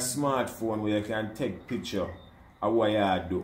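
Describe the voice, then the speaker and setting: A man with a Jamaican accent and a fairly low pitch talks at a moderate pace with ordinary pitch variation. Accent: Jamaican patois. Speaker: almond farmer. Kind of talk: casual conversation.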